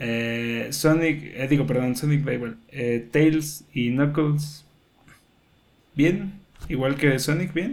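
A fairly high-pitched man with a Mexican accent, a very slow pace, ordinary pitch variation, and audible room echo. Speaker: video game podcast host. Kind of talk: casual chat.

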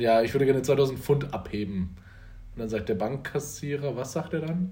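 Audible room echo surrounds a somewhat breathy man's voice with ordinary pitch variation. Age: 20s. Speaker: podcast host. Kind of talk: casual chat.

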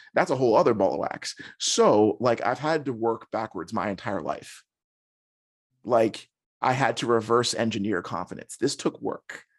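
A normal speaking voice from a man at medium pitch, moderate pace and lively intonation, over a quiet background. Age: 30s. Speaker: content creator, former educator. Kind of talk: interview conversation.

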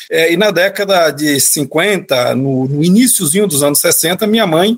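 A man with a high pitch speaks at a fairly slow pace with ordinary pitch variation. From Bahia, Brazil (interior, Campo Formoso). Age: 50s. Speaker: transport company executive. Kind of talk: interview.

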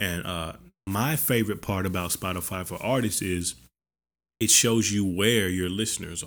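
This is a plain, everyday voice with an American accent. It moves at a moderate pace with fairly even intonation. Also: man. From US South, Arkansas (Benton). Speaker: music artist and podcaster. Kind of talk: casual monologue tutorial. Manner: casual, filler-heavy.

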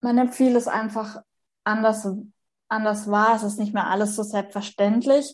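Against a quiet background, a woman speaks in a fairly high, somewhat breathy voice with monotone, flat intonation. She leaves long, frequent pauses. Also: fairly slow pace. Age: 30s. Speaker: person with Turner syndrome sharing her story. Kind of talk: interview testimony.

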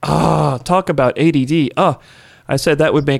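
Noticeable background noise fills the clip. Through it, a man with an American accent speaks at a fairly quick pace. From US South, New Orleans, Louisiana. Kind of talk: casual chat. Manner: animated.

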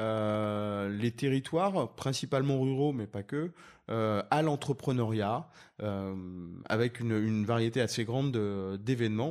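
A man speaks at a fairly slow pace in an ordinary speaking voice with ordinary pitch variation, on a very clean recording with a silent background. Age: 40s. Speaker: entrepreneur. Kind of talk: interview.

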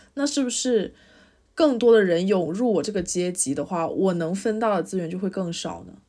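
A woman's dark, mellow tone at medium pitch. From China, city-raised. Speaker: podcast co-host. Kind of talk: casual chat.

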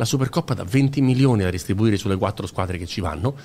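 In an animated, somewhat breathy tone, a man speaks at a very fast pace. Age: 40s. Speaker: football podcaster. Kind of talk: casual chat.

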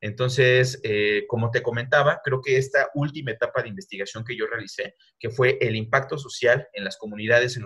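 Speaking at a fairly quick pace, a man has a medium pitch. His tone is bright and sharp. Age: 20s. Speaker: university lecturer and video game researcher. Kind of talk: casual interview.

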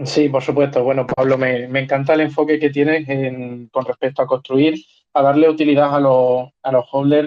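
Flat and monotone in intonation, a man with a fairly high pitch speaks at a moderate pace. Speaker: podcast co-host. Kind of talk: casual chat.

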